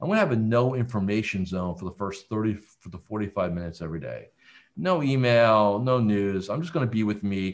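This man has an unremarkable speaking voice, fairly low in pitch with ordinary pitch variation, moving at a fairly quick pace over a quiet background. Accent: American. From central New Jersey. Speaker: business coach. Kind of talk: interview.

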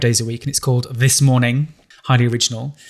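A man with a northern English accent speaks at a medium pitch. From northern England. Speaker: writer and columnist. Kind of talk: interview.

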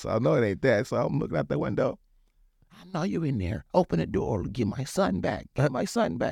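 A man of medium pitch talks at a fairly quick pace with vocal fry and very wide pitch swings, in a dry, close sound with no echo. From Zambia and Angola, then US. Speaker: basketball program founder and cuisine business owner. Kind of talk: casual interview chat. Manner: conversational, repeats 'you know what I'm saying'.

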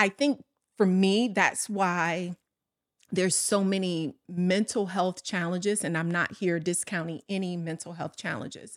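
A woman with an American accent speaks at a fairly slow pace in a plain, everyday voice, her pitch medium. The recording is very clean and dry, close with no echo, over a silent background. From US Midwest, south side of Chicago. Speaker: corporate operations executive. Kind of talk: casual interview chat.

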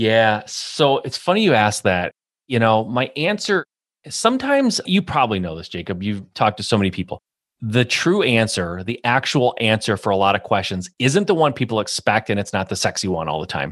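Lively in intonation and fairly quick, a man with a Midwestern American accent speaks at a medium pitch in a very clean recording with a silent background. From US Midwest, Michigan. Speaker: real estate investor and business coach. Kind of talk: interview. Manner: animated.

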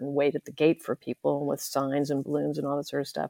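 Spoken with an American accent, the delivery keeps a fairly even intonation. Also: woman. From California. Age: 70s. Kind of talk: interview conversation.

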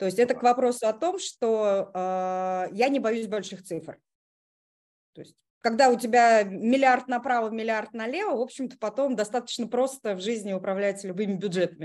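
The woman's voice is fairly high in pitch with ordinary variation, at a moderate pace. She pauses long and often, against a quiet background. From Russia, Kazan (Tatarstan). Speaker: online school owner, technical specialist trainer.

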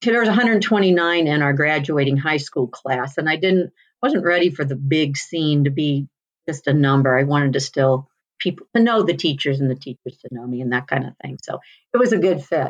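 With an American accent, a woman speaks at a moderate pace in a very deep, low pitch with lively intonation. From US Midwest, rural Missouri (Union, Ozarks). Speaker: veterinarian. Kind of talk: interview.

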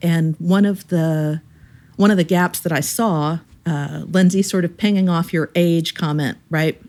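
This is a normal speaking voice with fairly even intonation, delivered at a fairly slow pace. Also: woman, fairly low pitch for a woman. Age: 50s. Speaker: member of an Enneagram association's regional chapter. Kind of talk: casual chat. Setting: call with the hosts.

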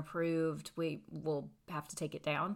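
A woman with a Tennessee accent talks at a moderate pace. Her pitch is fairly low and her intonation fairly even. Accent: US Southern, Tennessee. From East Tennessee, McMinn County. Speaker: movie theater manager. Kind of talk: interview.

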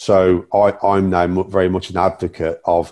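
Speaking with an English accent, a man has a very deep, low voice with a dark, mellow tone. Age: 50s. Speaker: community safety officer, former police officer. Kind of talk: interview. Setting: remote call. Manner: halting.

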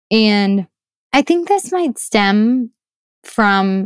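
In an American accent, a woman speaks at a medium pitch. The sound is dry and close, with no echo. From US Midwest. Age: 20s. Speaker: startup founder and researcher. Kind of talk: interview conversation.

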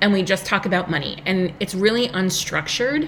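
A woman's medium-pitched voice with an American accent, fairly quick, with lively intonation, over noticeable background noise. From US, Long Island, New York. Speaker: business coach. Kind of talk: interview.

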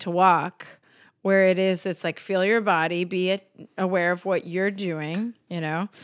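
On a very clean recording with a silent background and a dry, close sound with no echo, a woman speaks at a fairly slow pace and a medium pitch. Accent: American. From Texas and New Hampshire. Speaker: yoga teacher and theater director. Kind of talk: casual chat, podcast interview.

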